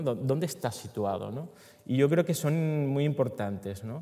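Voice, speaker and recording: A medium-pitched male voice with lively intonation. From Venezuela. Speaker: filmmaker; panelist. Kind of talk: conference talk. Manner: halting, many fillers. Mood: reflective, relaxed. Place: hall. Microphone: headset.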